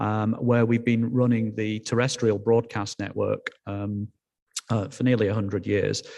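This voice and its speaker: Speaking in a Yorkshire accent, a man has a dark, mellow tone and a monotone, flat intonation. He goes at a fairly slow pace over a quiet background. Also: fairly low pitch for a man. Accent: Yorkshire, noticeable. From northern England, Yorkshire. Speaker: telecom executive. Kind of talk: conference talk. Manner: halting, many fillers.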